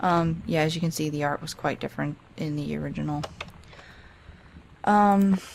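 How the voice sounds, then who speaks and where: A woman with a very deep, low pitch, fairly even intonation and long, frequent pauses. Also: moderate pace. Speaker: video game let's play creator. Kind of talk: let's play commentary. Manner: halting.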